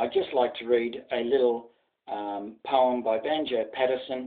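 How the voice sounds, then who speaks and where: A man with an Australian accent at a fairly slow pace, fairly even in intonation, against a quiet background. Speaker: journalist. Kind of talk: casual talk to camera. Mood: earnest, reverent. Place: home room. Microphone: webcam.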